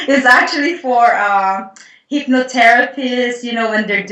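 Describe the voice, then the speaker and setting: A woman speaks at a moderate pace with ordinary pitch variation. Noticeable background noise can be heard. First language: not English. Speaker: Akashic Records healer and writer. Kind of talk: casual interview conversation.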